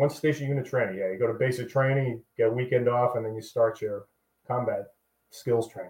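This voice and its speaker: A man with an American accent, somewhat breathy, medium in pitch, fairly quick in pace and fairly even in intonation. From Boston, US Northeast. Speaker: army veteran. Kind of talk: casual chat.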